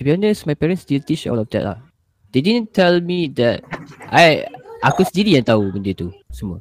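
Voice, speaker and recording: This man's voice sits fairly high and moves through very wide pitch swings at a moderate pace. The sound is dry and close, with no echo. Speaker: podcast co-host. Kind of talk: casual chat.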